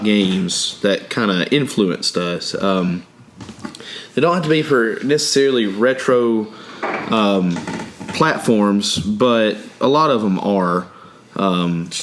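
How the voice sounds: Over noticeable background noise, a man with a Southern US accent speaks at a very slow pace with long, frequent pauses. His fairly low voice has lively intonation and very even loudness. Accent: Southern American drawl.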